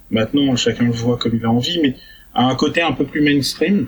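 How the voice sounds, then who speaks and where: With a fairly high pitch, a man talks at a moderate pace amid noticeable background noise. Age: 30s. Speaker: festival organizer. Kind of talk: radio interview.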